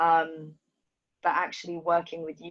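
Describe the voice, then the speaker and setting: Music plays in the background behind a voice with a slight London accent. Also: woman. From Ethiopia, raised in London. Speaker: dancer. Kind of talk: interview.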